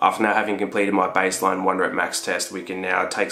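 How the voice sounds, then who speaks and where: Someone talks at a very fast pace with clear music in the background. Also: man. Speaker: fitness vlogger. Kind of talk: casual vlog chat. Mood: upbeat, motivated.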